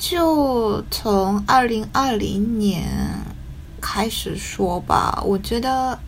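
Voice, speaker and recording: Speech comes at a very slow pace with a slight Taiwanese accent. There is audible room echo and noticeable background noise. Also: woman. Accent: slight Taiwanese-tinged Mandarin, non-native. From Japan. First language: Japanese (speaking Chinese). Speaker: writer. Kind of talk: casual chat. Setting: video call.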